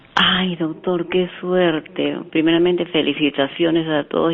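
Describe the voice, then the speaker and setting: At a fairly slow pace and with fairly even intonation, a woman speaks in a very deep, low voice over noticeable background noise. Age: 70s. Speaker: caller. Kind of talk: phone-in question. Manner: halting.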